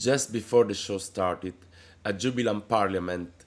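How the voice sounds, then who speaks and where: A man with an Italian accent and ordinary pitch variation. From Italy. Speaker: drag queen. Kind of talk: reading aloud a letter. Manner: careful, read-out pace.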